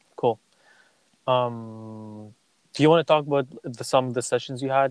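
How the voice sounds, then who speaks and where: A man's monotone, flat voice, dry and close with no echo. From Kazakhstan. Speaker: podcast host. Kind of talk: casual interview chat. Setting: remote call. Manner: fast; frequent laughter.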